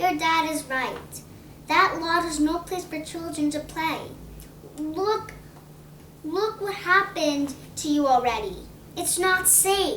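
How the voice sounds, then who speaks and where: Over clear background noise, a woman does a put-on character voice at an extremely high pitch, speaking at a fairly slow pace with long, frequent pauses. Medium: read story. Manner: gentle.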